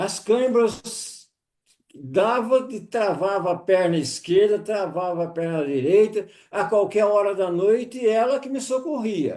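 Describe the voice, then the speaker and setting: A man talks at a very slow pace with a high pitch. His tone is dark and mellow, and his intonation is lively. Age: 70s. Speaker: testimonial guest. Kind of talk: testimony.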